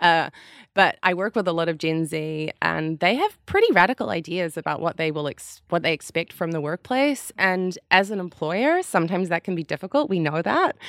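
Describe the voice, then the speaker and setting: A woman with an ordinary speaking voice talks at a moderate pace with ordinary pitch variation and hardly any pauses, in a dry, close sound with no echo on a very clean recording with a silent background. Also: fairly low pitch for a woman. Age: 30s. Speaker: climate activist and consultancy founder. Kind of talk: casual panel chat. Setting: recording studio on the beach.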